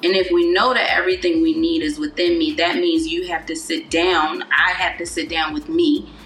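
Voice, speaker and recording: Over noticeable background noise, a woman with an American accent speaks at a high pitch and a moderate pace, her pitch swinging very widely with hardly any pauses. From Baltimore, Maryland, US. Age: 30s. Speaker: celebrity stylist and wellness coach. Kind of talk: casual interview chat.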